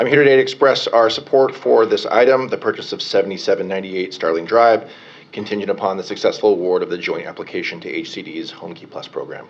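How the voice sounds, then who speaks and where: Over noticeable background noise, a man talks at a very fast pace with hardly any pauses and big swings in loudness. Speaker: mayoral policy advisor. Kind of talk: public comment at board meeting.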